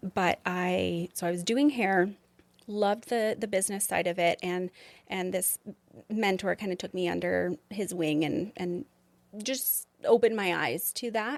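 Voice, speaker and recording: In an unremarkable speaking voice, a woman with a Canadian accent talks at a fairly slow pace and medium pitch, with ordinary pitch variation and a dry, close sound with no echo. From southern Alberta, Canada. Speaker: beauty and medspa business owner. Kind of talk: interview answer. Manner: casual, conversational.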